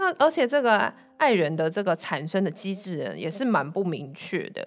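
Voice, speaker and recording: A woman is speaking. Her pitch swings very widely. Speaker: podcast co-host. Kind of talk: casual chat.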